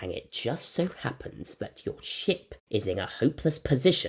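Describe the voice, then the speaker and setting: Using a put-on character voice, a man speaks at a moderate pace with a fairly high pitch and a hissing sound. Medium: read story. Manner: hissing, menacing, sly.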